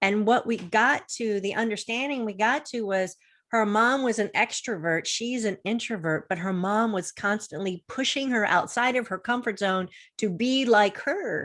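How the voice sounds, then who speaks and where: A plain, everyday voice with an American accent, ordinary pitch variation and a moderate pace on a very clean recording with a silent background. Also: woman, fairly high pitch for a woman. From Florida. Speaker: confidence coach. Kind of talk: interview on a video show.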